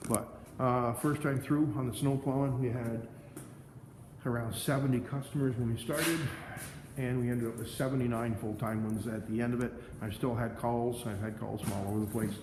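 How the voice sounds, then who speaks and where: Amid noticeable background noise and audible room echo, a man at medium pitch talks at a fairly quick pace with fairly even intonation. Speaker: snow plowing business owner. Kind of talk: casual vlog walkthrough. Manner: halting, stammering.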